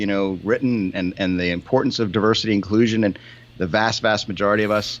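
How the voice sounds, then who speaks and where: A man with a plain, everyday voice speaks at a fairly quick pace and a fairly low pitch, with fairly even intonation. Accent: American. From United States. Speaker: podcast co-host. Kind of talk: casual chat.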